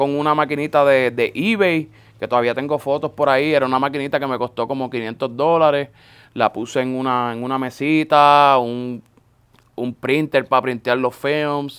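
A man speaks at a moderate pace in an unremarkable speaking voice. His pitch sits fairly high, with ordinary variation. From Puerto Rico (Florida, north coast). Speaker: sneaker store owner. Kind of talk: casual interview chat. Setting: in person with host.

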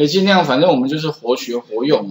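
A man speaks at a fairly high pitch with a Taiwanese accent. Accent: Taiwanese Mandarin. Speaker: programming instructor. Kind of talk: classroom lecture. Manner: frequent filler particles.

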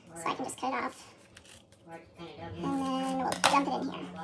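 Loud noise surrounds a woman as she talks. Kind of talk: tutorial. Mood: relaxed, chatty. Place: kitchen. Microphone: phone near.

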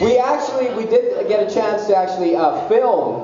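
A man speaks at a moderate pace. Light background noise and audible room echo are present. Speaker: talk show host. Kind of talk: casual talk show chat. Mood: joking, playful. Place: stage.

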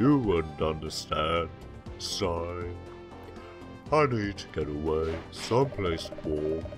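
A put-on character voice from a man, very deep and low in pitch, at a fairly slow pace with clear music in the background. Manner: mopey, self-pitying.

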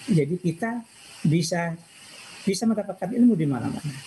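Lively intonation carries a moderate pace over light background noise. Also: man. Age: 60s. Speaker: information systems professor. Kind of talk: personal life talk. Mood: calm, reflective. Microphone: video call.

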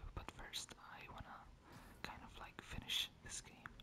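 The words are whispered very slowly. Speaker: ASMR gaming channel host. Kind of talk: casual gameplay commentary. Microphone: studio mic.

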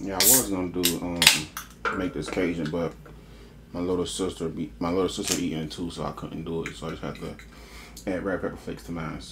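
Against loud background noise, a man talks at a fairly quick pace with ordinary pitch variation. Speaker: mukbang creator. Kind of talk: casual vlog chat. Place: kitchen.

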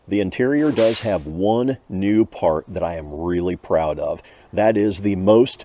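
A man talks at a fairly slow pace, the sound dry with no echo and noticeable background noise behind him. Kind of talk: interview answer. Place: garage.

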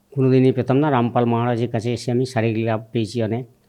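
Over a quiet background, a man speaks at a medium pitch with a dark, mellow tone. His intonation is flat and monotone. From West Bengal, Birbhum district. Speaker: religious devotee giving testimony. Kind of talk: testimony interview.

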